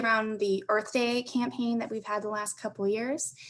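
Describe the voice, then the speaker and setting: Monotone, flat speech at a moderate pace amid noticeable background noise. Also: woman. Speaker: transit agency corporate partnerships manager. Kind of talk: conference panel presentation.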